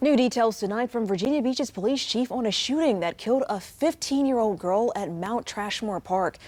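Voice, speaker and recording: With an American accent and an unremarkable speaking voice, a woman talks at a moderate pace and a fairly high pitch, her lively intonation running on with hardly any pauses. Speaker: TV news anchor and field reporter. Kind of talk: broadcast news anchoring and live field reporting. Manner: polished, authoritative, measured.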